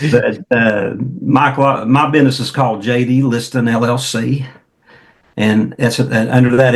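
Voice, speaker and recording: A man with a rural Oklahoma accent and fairly even intonation. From Oklahoma, near Jones. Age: 60s. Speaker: entrepreneur, motivational speaker and coach. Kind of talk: podcast interview.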